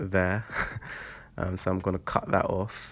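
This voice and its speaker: Against music in the background, a man with a very deep, low pitch speaks at a moderate pace with monotone, flat intonation. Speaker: vlogger building an allotment shed. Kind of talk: casual vlog tutorial. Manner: halting, many fillers.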